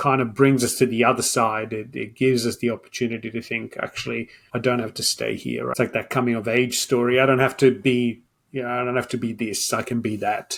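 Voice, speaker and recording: Speaking fairly quickly with vocal fry, a man keeps a medium pitch and monotone, flat intonation. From Italy. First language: Italian. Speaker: data expert. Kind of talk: podcast interview.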